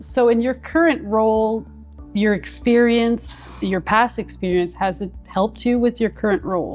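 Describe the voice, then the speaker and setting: Background music plays throughout. Over it, a woman talks at a moderate speed. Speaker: interviewer. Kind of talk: interview questions.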